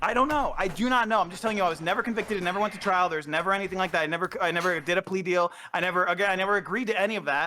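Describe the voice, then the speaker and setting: At a very fast clip with hardly any pauses, a man talks in a raised, projected voice, high-pitched for a man, bright and sharp in tone, animated, with ordinary pitch variation. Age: 30s. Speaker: former streaming producer. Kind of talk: heated debate.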